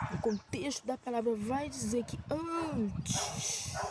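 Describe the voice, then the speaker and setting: Lively intonation from a woman against noticeable background noise. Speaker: missionary preacher. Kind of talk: sermon. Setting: outdoors on a prayer mountain. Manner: soft-spoken.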